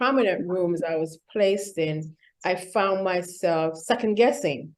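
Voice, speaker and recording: This woman speaks with a Vincentian accent and ordinary pitch variation. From Saint Vincent and the Grenadines. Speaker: executive coach and keynote speaker. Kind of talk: interview.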